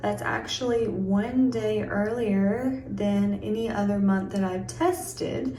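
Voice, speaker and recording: A woman speaks quietly at a very slow pace, with noticeable background noise and audible room echo. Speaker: vlogger. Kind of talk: casual vlog talk to camera. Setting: at home, separate room. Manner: quiet, hushed.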